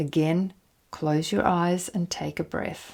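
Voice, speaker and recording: In a plain, everyday voice, a woman speaks at a fairly low pitch and a fairly slow pace with fairly even intonation, on a very clean recording with a silent background. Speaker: hypnotherapist. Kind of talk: guided exercise.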